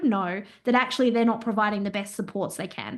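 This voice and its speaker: A woman talks with fairly even intonation. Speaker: business owner and compliance consultant. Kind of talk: interview. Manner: loud; talkative.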